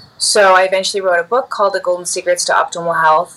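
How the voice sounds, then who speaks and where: A woman speaks with an American accent at a fairly low pitch. There is noticeable background noise. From US Midwest, Chicago. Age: 40s. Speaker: yoga teacher and skincare entrepreneur. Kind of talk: interview.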